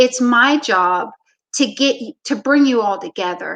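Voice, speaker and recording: A woman speaks with a high pitch and lively intonation at a fairly slow pace. The sound is dry and close, without echo. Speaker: basketball coach. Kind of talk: interview storytelling.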